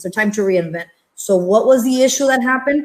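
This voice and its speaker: A woman talks at a fairly quick clip with a Spanish accent. Her pitch sits fairly high, with ordinary variation. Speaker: entrepreneur and pediatric therapist. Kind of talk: panel discussion.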